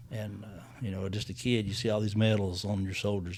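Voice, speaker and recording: A man speaks at a fairly quick pace with an American accent, his pitch fairly low and his intonation fairly even. His voice is somewhat breathy, and audible room echo surrounds it. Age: 70s. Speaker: county mayor. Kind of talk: interview. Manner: halting.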